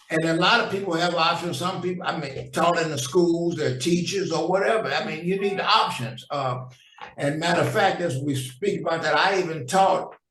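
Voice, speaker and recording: With an American accent, a man talks at a moderate pace and high pitch with ordinary pitch variation, amid audible room echo and noticeable background noise. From US Midwest, St. Louis. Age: 70s. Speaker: jazz trombonist and vocalist. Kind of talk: casual interview chat.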